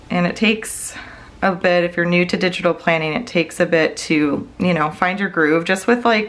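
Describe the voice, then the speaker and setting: Noticeable background noise sits under a woman speaking at a moderate pace. Her pitch is fairly low, with ordinary variation. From Wisconsin. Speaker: budgeting YouTuber and planner seller. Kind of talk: casual tutorial vlog. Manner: chatty, many fillers.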